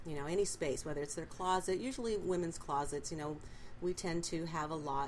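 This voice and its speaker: A woman with an American accent talks at a fairly low pitch. Her intonation is lively and her pace fairly quick. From Southern California, Lakewood. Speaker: professional organizer. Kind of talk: interview.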